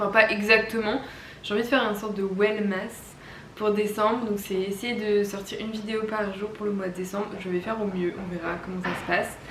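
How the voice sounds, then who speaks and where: Over noticeable background noise and audible room echo, a woman at a medium pitch speaks fairly quickly in a monotone, flat intonation. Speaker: wellness vlogger. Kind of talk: vlog monologue. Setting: at home. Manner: casual with many hesitations.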